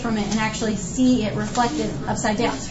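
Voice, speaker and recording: A woman talks at a moderate pace. Her voice comes with audible room echo amid noticeable background noise. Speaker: high school physics teacher. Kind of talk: classroom lecture. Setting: classroom with students.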